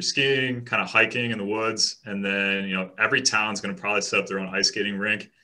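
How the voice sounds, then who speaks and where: A man with a slight Chicago accent speaks very fast, his fairly low pitch paired with a bright, sharp tone. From Chicago western suburbs. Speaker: real estate agent. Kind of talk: casual interview chat.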